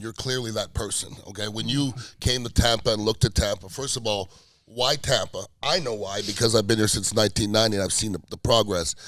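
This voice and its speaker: Fairly quick and fairly even in intonation, a man speaks at a medium pitch in an ordinary speaking voice. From Canada, Montreal. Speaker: podcast co-host and radio host. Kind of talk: casual interview conversation.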